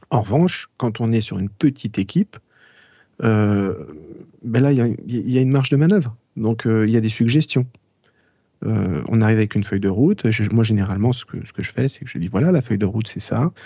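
With a dark, mellow tone and medium pitch, a man talks at a fairly quick pace broken by long, frequent pauses. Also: ordinary pitch variation, quiet background. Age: 40s. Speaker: jazz trumpeter. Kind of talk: casual interview. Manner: halting.

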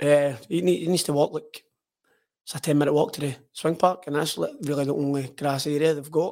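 A man with a Lanarkshire accent speaks at a fairly quick pace. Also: fairly high pitch for a man, fairly even intonation. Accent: Scottish (Lanarkshire). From Scotland, Hamilton. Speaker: footballer. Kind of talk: casual chat. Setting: studio.

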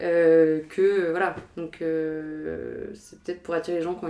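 A woman's fairly low voice with a dark, mellow tone at a moderate pace. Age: 20s. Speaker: art history student. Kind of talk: casual chat.

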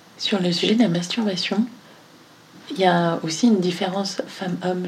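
Medium-pitched woman's voice with fairly even intonation amid noticeable background noise. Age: 30s. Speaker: podcast host and company founder. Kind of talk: interview.

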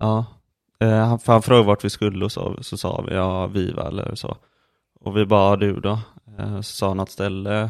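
Against a silent background in a very clean recording, a man speaks at a moderate pace with fairly low pitch and monotone, flat intonation. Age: 20s. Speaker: podcast co-host. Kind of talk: casual chat.

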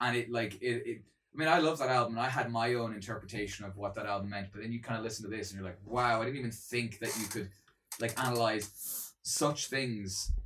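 A man with an Irish accent talks at a fairly quick pace, his medium-pitched voice keeping fairly even intonation. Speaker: co-host, musician. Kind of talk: casual chat. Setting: at his own home.

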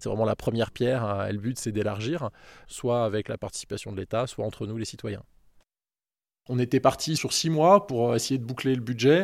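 The speaker has an unremarkable speaking voice at a moderate pace. The pitch varies in an ordinary way. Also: man, medium pitch for a man. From Annecy, Haute-Savoie, France. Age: 40s. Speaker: hiker and anti-hunting association president. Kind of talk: interview. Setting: outdoors, forest walk.

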